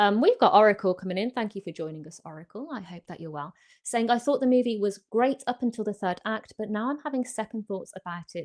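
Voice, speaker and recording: A woman with a British accent speaks at a fairly quick pace, with hardly any pauses. Her voice sits at a medium pitch. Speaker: horror film YouTuber hosting a livestream. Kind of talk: live stream chat. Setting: live online stream. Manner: hesitant, many fillers.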